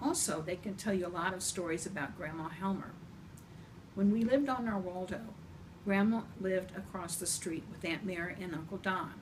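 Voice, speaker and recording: A woman talks at a fairly quick pace, medium in pitch with ordinary variation. Audible room echo and noticeable background noise fill the recording. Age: 70s. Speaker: grandmother storyteller. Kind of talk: reading aloud. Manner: gentle.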